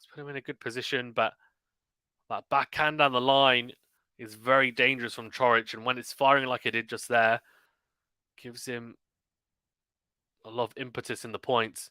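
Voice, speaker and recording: A man with a British accent speaks in a bright, sharp tone and a monotone, flat intonation, with big swings in loudness. Long, frequent pauses break his speech, and the very clean recording has a silent background and a dry, close sound with no echo. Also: medium pitch for a man. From UK. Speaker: tennis commentator and streamer. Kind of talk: live commentary. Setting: live stream. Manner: fast; clear.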